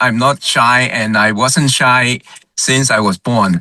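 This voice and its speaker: With a bright, sharp tone and a medium pitch, a man speaks at a very slow pace in a dry, close sound with no echo. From Hong Kong. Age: 70s. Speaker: retired healthcare executive. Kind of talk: webinar discussion. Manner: loud.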